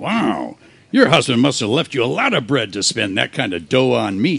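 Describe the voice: Using a put-on character voice, a man speaks at medium pitch and a moderate pace with big pitch swings, a fairly bright tone, a slightly husky edge and vocal fry.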